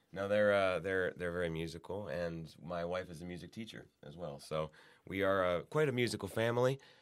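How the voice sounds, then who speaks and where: A man talks at a fairly quick pace in a very deep, low voice, with big swings in loudness. The recording is very clean, with a silent background. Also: ordinary pitch variation. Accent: Midwestern American. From Ohio, Youngstown. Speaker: magazine editor. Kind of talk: casual chat.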